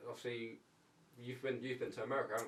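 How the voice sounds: The intonation stays fairly even at a fast pace, with a fairly bright tone. Room echo is audible. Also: man, medium pitch for a man.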